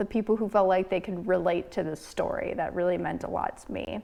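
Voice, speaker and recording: A woman is heard over a quiet background. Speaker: hiking vlogger. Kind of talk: casual chat.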